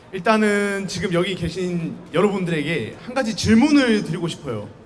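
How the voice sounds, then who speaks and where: Recorded with audible room echo, a man speaks at a high pitch with lively intonation. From South Korea, Busan. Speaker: university student speaker. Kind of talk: public talk to student audience. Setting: outdoor campus busking stage with audience. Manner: casual, conversational.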